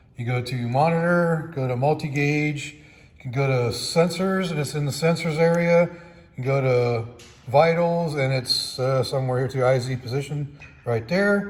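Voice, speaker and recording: A man with a fairly high pitch speaks at a moderate pace, his loudness swinging widely and his pitch varying in an ordinary way. Noticeable background noise and audible room echo fill the recording. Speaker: car mechanic tutorial creator. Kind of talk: tutorial. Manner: casual.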